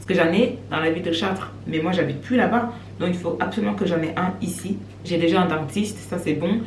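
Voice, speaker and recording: Noticeable background noise and audible room echo surround a woman speaking at a fairly quick pace. Her fairly low voice makes very wide pitch swings. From Cameroon. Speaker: vlogger. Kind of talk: casual vlog talk to camera. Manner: fast.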